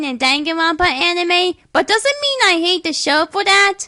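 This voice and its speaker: Raising and projecting her voice, a woman speaks at a moderate pace with an extremely high pitch, a bright, sharp tone and lively intonation. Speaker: online video commentator. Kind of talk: video review commentary.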